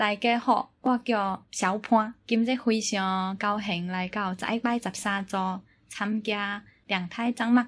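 A woman speaks in a strong Chaoshan accent, her fairly high voice somewhat breathy. Her intonation stays fairly even on a very clean recording with a silent background. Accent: strong Teochew accent in Mandarin. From Jieyang, Chaoshan, Guangdong. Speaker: Chinese opera enthusiast guest. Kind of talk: casual chat.

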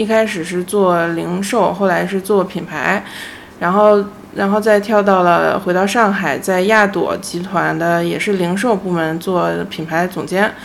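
Over noticeable background noise and audible room echo, a woman with a medium pitch speaks at a fairly slow pace with fairly even intonation. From Beijing, China. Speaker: independent designer. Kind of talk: casual chat. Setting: host's home.

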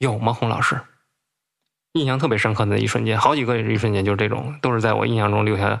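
A man with a Beijing accent talks very fast at a fairly low pitch, with vocal fry. His intonation is fairly even and his loudness very even. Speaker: bookseller. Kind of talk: casual chat.

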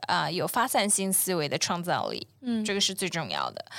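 The voice has a bright, sharp tone with vocal fry and lively intonation, delivered at a moderate pace. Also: woman. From China, long periods abroad. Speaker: environmental startup founder. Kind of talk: casual interview. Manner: hesitant, many filler sounds.

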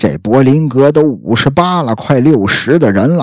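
His pitch swings very widely around a medium level. The man talks at a fairly slow pace. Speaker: true crime podcast host. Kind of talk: casual true-crime storytelling. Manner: chatty, filler-heavy.

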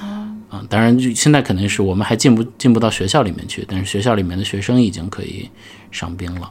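A man with a fairly low, somewhat breathy voice speaks at a very fast pace, with big swings in loudness and ordinary pitch variation. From Xi'an, China. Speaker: podcast host. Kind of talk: casual chat.

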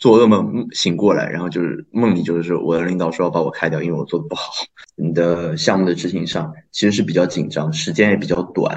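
Speaking at a fairly quick pace, a man with a very deep, low pitch uses lively intonation. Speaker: restaurant worker, former journalism student. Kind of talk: casual chat.

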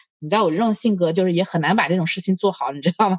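A woman at medium pitch, very fast pace and lively intonation, in a dry, close sound with no echo. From Hunan. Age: 30s. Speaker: podcast host. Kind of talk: casual chat.

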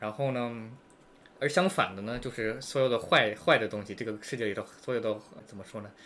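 At a fairly quick pace, a man talks in a normal speaking voice with big swings in loudness. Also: medium pitch for a man, ordinary pitch variation. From United States. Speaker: podcast guest. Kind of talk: casual chat.

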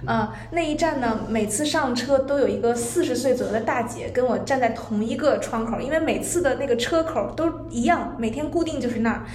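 A woman's high voice at a fairly quick pace, ordinary pitch variation, and noticeable background noise. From Zhangjiakou, Hebei. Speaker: guest. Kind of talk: casual chat. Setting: recorded in a tea room.

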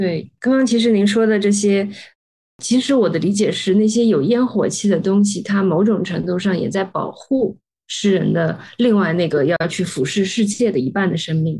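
Her tone dark and mellow, a woman talks at a medium pitch and moderate pace, somewhat breathy, with ordinary pitch variation and very even loudness. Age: young. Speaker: podcast host. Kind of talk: interview.

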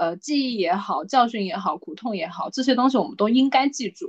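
Some breathiness runs through the woman's voice. She talks rather quickly. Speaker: podcast co-host. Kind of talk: casual chat.

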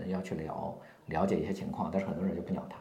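Audible room echo and noticeable background noise surround this man as he talks. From rural China. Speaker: marketing consultant and company founder. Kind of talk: interview. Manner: hesitant, many fillers.

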